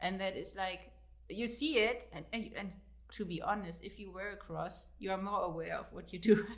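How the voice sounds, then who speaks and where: A woman talks with a German accent at a moderate pace. Her loudness swings widely, and the room echo is audible. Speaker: author and fitness coach. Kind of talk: interview. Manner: halting.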